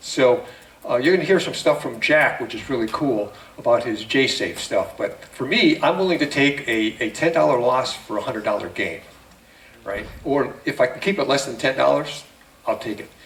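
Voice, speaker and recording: Amid noticeable background noise, a man talks at a moderate pace. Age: 70s. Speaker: trading seminar presenter. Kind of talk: seminar presentation. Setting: room with live audience. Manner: conversational, halting with fillers.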